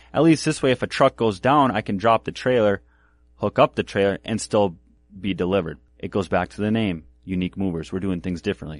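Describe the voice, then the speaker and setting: A man with an American accent and an ordinary speaking voice talks at a fairly quick pace in a fairly low pitch with ordinary pitch variation. The sound is dry and close with no echo over a quiet background. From Minnesota. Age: 30s. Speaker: moving company owner. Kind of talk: interview.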